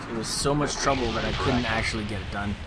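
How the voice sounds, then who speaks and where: A man of medium pitch talks with a Canadian accent against noticeable background noise. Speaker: gaming commentator. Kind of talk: gameplay commentary. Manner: casual, rambling with fillers.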